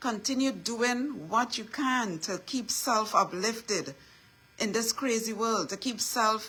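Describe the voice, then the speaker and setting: Over noticeable background noise, a woman with a fairly high pitch speaks in a Trinidadian accent at a fairly slow pace with ordinary pitch variation. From Trinidad and Tobago. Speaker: inspirational speaker. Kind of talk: motivational talk. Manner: repetitive, emphatic.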